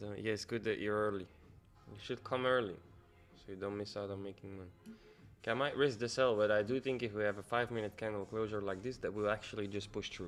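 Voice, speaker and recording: Over music in the background, a man speaks at a very fast pace, fairly low in pitch with fairly even intonation. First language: Dutch. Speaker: forex and crypto trader streaming live. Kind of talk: live trading stream chat. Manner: thinking aloud, hesitant with fillers.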